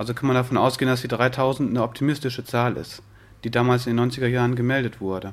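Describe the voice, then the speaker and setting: Speaking very fast, a man with a medium-pitched voice keeps a monotone, flat intonation. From western Germany, Wuppertal. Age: 30s. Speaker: peer support worker, psychiatric survivors' association. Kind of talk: interview.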